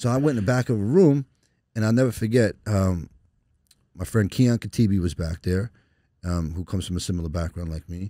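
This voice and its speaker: A dark, mellow tone with an American accent and ordinary pitch variation, on a very clean recording with a silent background. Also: man. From New York (Long Island/Brooklyn). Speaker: lawyer. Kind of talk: casual interview conversation. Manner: animated, repetitive stammering.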